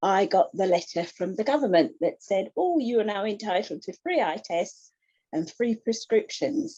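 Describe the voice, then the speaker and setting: In an English accent, a woman speaks at a moderate pace with a medium pitch, a dark, mellow tone and very wide pitch swings. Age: 60s. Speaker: retired administrator and glaucoma patient. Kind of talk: personal testimony in an online support group.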